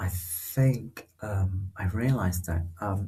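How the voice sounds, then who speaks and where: Very deep and low in pitch, a man speaks at a moderate pace in a somewhat breathy, dark, mellow tone with ordinary pitch variation. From northern Malaysia, rural. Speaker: researcher. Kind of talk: casual interview. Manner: halting, many fillers.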